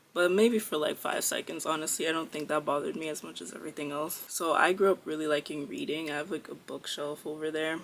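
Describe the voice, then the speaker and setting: Speaking at a very fast pace with hardly any pauses, a woman with an American accent and a very deep, low pitch shows ordinary pitch variation. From US East Coast. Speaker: vlogger. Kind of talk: casual vlog monologue. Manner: animated.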